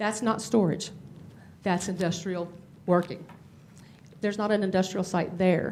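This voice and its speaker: Over noticeable background noise and audible room echo, a woman speaks at a medium pitch with fairly even intonation. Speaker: resident speaking at public comment. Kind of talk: public comment at town council meeting. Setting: town council meeting room. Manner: fast.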